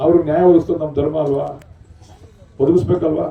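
A man speaks over noticeable background noise. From rural Karnataka, India. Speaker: politician, state legislator. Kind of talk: public speech at a sports event.

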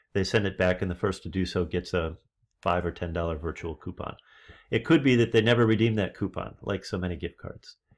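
Pitch varies in an ordinary way. The pace is fairly quick. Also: man, very deep, low pitch for a man. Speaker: leadership trainer. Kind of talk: lecture. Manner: animated. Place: home room. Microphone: webcam.

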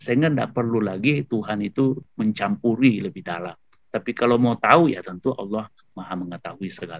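A man's lively, fairly quick delivery, dry with no echo, over a quiet background. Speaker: professor giving Quran commentary. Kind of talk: webinar lecture. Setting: video call webinar. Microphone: video call.

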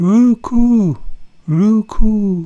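In a put-on character voice, the speaker uses a fairly high pitch and a gentle tone. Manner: gentle, cooing.

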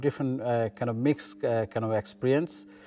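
A man with a Bangladeshi accent, fairly quick pace, ordinary pitch variation, and light background noise. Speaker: local councillor. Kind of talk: interview answer. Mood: calm, warm, reflective. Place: meeting room.

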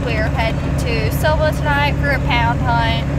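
Loud background noise fills the recording. Over it, a woman speaks at a fairly slow pace. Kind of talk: casual vlog chat. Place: car. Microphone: phone near.

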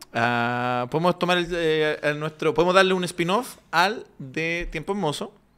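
A man talks at a fairly slow pace in a high-pitched voice. His tone is bright and sharp, with ordinary pitch variation. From Chile. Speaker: comedian; podcast co-host. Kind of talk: casual chat. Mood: joking, relaxed. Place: studio. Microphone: studio mic.

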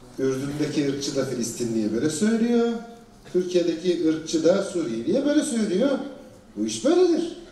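Here a man talks at a moderate pace with very wide pitch swings. Audible room echo surrounds his voice. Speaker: panel moderator. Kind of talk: panel discussion commentary. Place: stage.

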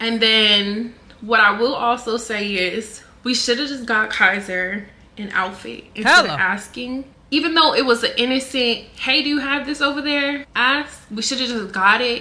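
The speaker is a woman with a moderate pace. Her pitch rises and falls in an ordinary way. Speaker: content creator. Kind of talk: casual vlog chat. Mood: calm, explaining her side. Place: home room.

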